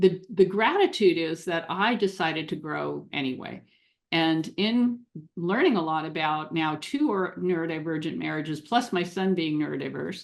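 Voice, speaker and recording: Against a quiet background, a woman speaks at a moderate pace, fairly low in pitch with vocal fry and ordinary pitch variation. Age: 60s. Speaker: relationship coach for neurodiverse couples. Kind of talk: podcast interview.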